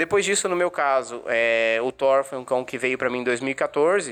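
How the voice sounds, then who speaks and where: This man talks at a moderate pace with ordinary pitch variation. He has an unremarkable speaking voice. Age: 20s. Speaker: guide dog user, journalism student. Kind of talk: podcast interview.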